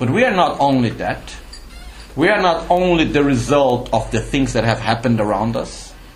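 A man speaks at a moderate pace while music plays in the background. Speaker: Buddhist teacher. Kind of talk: dharma teaching talk. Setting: live retreat with audience. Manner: explanatory, didactic.

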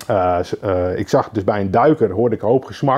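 Here a man speaks with ordinary pitch variation. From Netherlands, Lelystad (Flevoland). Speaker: carp angler and angling writer. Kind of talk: podcast interview. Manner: halting, repeats words.

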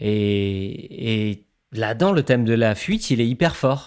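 A medium-pitched male voice in a very clean recording with a silent background. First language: not French (speaking French). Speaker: musician and sound artist. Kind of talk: casual chat.

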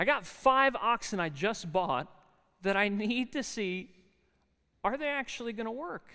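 A man's raised, projected voice with an American accent, high in pitch, bright and sharp in tone, at a fairly slow pace with long, frequent pauses. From South Jersey, US (near Philadelphia). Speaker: chapel speaker and adjunct Bible lecturer. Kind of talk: sermon. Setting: university chapel with student audience.

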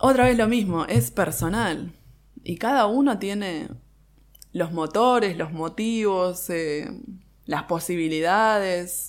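The intonation is lively. The delivery is very slow, in a Rioplatense accent. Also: woman, medium pitch for a woman. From Buenos Aires, Argentina (Boedo). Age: 30s. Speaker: bookbinder and architect. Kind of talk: interview. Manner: halting, many fillers and restarts.

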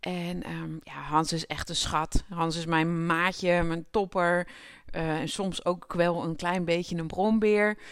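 In a very clean recording with a silent background, a woman talks at a very slow pace, her fairly low pitch held in fairly even intonation. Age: 30s. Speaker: podcast host. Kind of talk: personal monologue.

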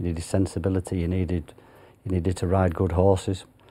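Speaking fairly quickly in a Yorkshire accent, a man has a very deep, low pitch and a dark, mellow tone. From Yorkshire, northern England. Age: 50s. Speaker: retired jockey. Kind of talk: interview. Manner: halting.

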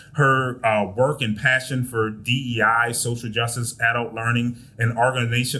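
Bright, sharp tone from a man at medium pitch and a moderate pace. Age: 30s. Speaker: podcast host. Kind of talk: interview. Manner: animated.

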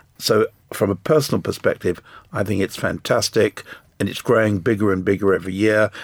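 A man with an English accent speaks in a fairly low pitch. The sound is dry and close with no echo, on a very clean recording with a silent background. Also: ordinary pitch variation. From England. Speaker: business owner, panelist. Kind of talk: panel discussion. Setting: studio.

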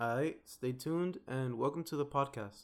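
On a very clean recording with a silent background, a man talks at a medium pitch in an American accent. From US West Coast, Watts, Los Angeles. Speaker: podcast host, university student. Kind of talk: casual monologue intro.

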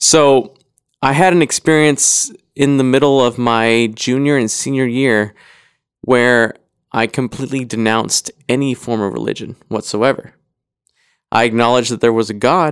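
A man with an American accent speaks at a moderate pace, medium in pitch with ordinary pitch variation, in an ordinary speaking voice. The recording is very clean, with a silent background. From US, Idaho. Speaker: podcast guest. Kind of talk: casual chat.

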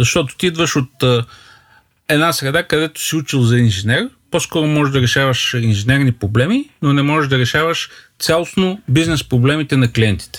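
A man with an unremarkable speaking voice and fairly high pitch talks at a moderate pace on a very clean recording with a silent background. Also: ordinary pitch variation. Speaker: startup co-founder. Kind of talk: casual chat.

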